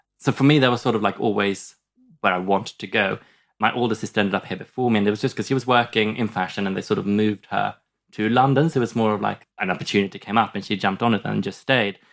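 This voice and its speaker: A very fast voice with a Swedish accent and fairly even intonation, on a very clean recording with a silent background. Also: man, fairly low pitch for a man. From southern Sweden. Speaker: comedian. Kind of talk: casual chat. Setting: studio.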